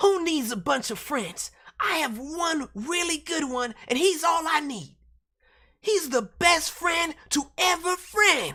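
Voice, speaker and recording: A woman does a raspy, put-on character voice at an extremely high pitch. She goes at a fairly slow pace with lively intonation. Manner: pouty.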